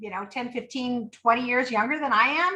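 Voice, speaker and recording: A woman speaks at a high pitch with ordinary pitch variation and a bright, sharp tone. The recording is very clean, with a silent background. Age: 60s. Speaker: poker organization founder. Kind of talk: interview.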